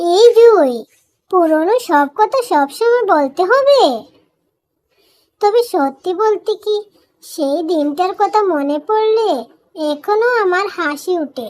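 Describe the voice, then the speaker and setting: A cartoonish character voice, female-sounding and extremely high-pitched, delivered at a fairly slow pace. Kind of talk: children's cartoon voice acting. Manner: warm, gentle.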